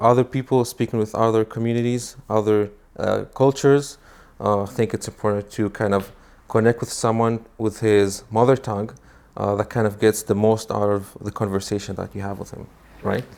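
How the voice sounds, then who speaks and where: A man with a slight non-native accent speaks at a moderate pace and medium pitch, in a monotone, flat intonation. The recording is very clean with a silent background. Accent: slight foreign. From Israel. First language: Hebrew. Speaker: immigrant guest. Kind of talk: interview. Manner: hesitant, many fillers.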